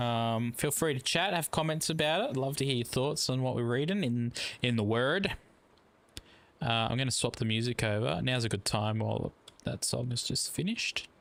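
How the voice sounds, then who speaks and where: At a moderate pace and very even loudness, a man talks with a medium pitch. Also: ordinary pitch variation. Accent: Australian. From Australia. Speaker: gaming streamer. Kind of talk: casual live stream chat. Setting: live stream. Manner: laid back.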